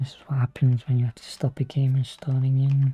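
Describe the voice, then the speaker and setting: Someone whispers quietly at a moderate pace. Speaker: gaming streamer. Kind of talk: casual gameplay commentary. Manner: quiet, near-whispering.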